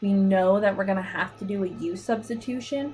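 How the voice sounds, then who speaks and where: Noticeable background noise behind a woman with fairly even intonation. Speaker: math teacher. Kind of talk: tutorial.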